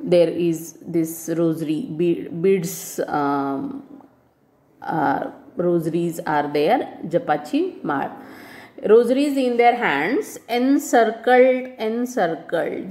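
Her tone dark and mellow, a woman speaks very slowly while her pitch swings very widely. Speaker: teacher. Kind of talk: lecture explaining a text. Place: home room.

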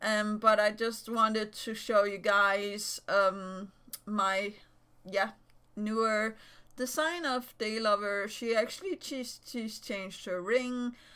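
A woman's fairly high, bright and sharp voice at a very slow pace. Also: ordinary pitch variation. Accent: Danish. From Denmark. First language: Danish. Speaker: YouTuber and digital artist. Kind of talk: casual vlog talk to camera. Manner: halting, many fillers.

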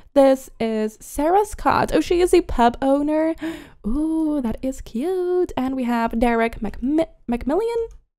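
Her voice is high for a woman and dark and mellow in tone, with very wide pitch swings at a fairly slow pace. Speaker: gaming YouTuber. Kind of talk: gameplay commentary. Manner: upbeat, excited.

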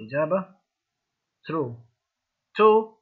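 This voice belongs to a man. His pitch rises and falls normally. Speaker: English teacher. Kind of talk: lecture.

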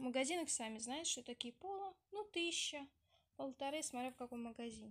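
At a moderate pace, a woman speaks in a high, nasal voice with a fairly bright tone.

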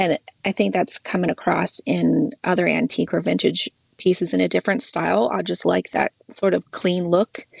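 Her loudness stays very even as a woman talks in a dry, close sound with no echo. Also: moderate pace. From Idaho. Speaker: furniture refinisher. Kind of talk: casual interview.

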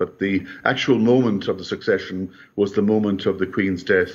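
In an Irish accent, a man speaks at a fairly quick pace with a fairly low pitch and fairly even intonation. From Ireland. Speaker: history scholar; remote commentator guest. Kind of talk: news interview. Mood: solemn, reflective. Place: home room. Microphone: bad internet connection; video call.

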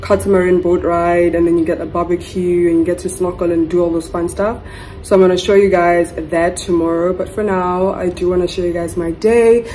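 Over light background noise, a woman speaks fairly quickly at a fairly low pitch, in a flat monotone with hardly any pauses. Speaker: travel vlogger. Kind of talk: casual vlog chat. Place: home room. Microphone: phone near.

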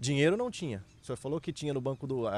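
Recorded dry and close with no echo, a man speaks at a fairly high pitch. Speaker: interview host. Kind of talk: casual interview.

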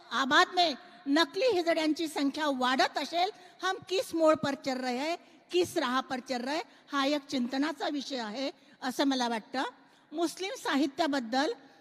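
Amid noticeable background noise, a woman with a high pitch speaks with ordinary pitch variation. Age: 50s. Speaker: writer and social activist. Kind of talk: panel discussion. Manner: outspoken, direct.

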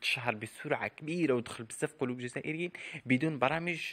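A man with an Algerian accent talks at a fairly quick pace in a bright, sharp tone with ordinary pitch variation. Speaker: celebrity news youtuber. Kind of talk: scripted narration.

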